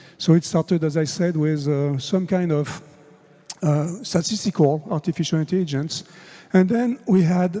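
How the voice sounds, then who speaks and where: He speaks with a French accent at a moderate pace. His pitch is high for a man, with ordinary variation. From France. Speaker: conference speaker on AI. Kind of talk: conference talk.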